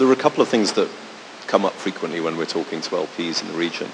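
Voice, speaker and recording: The voice carries ordinary pitch variation against noticeable background noise. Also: man. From Britain. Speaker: private equity fund manager, panelist. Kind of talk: panel discussion.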